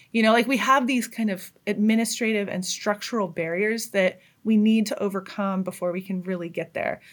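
In a very clean recording with a silent background, a woman with an American accent and an ordinary speaking voice talks with hardly any pauses. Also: medium pitch for a woman. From rural far Northern California (Trinity County). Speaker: fire adviser. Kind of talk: interview conversation.

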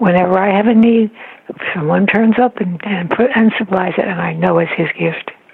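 Noticeable background noise accompanies this speaker. She is a woman with a medium pitch. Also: ordinary pitch variation, moderate pace. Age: 90s. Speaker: author of spiritual meditations. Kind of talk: interview about faith.

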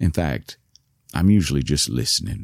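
A man with a Southern US accent talks at a moderate pace with vocal fry and very wide pitch swings, and the sound is dry and close with no echo. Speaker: storyteller with Parkinson's. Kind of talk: scripted personal narration. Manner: soft-spoken, slurring.

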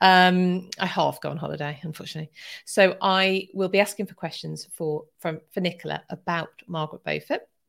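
A woman with an English accent speaks at a fairly quick pace in a fairly low pitch, her intonation fairly even and her loudness swinging widely, on a very clean recording with a silent background. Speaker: history podcast host. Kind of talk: live stream chat. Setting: live stream at home.

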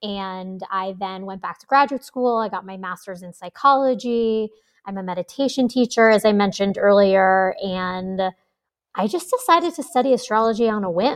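A woman's unremarkable speaking voice at a medium pitch and moderate pace, with ordinary pitch variation, big swings in loudness and a quiet background. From New York. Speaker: astrologer and meditation teacher. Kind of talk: interview.

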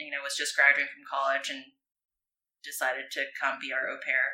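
Speaking at a fairly quick pace, a woman with an American accent has a very deep, low pitch and a bright, sharp tone. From US West Coast (Arcadia, California). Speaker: former pro surfer, surfboard business owner. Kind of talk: casual interview. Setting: at her home.

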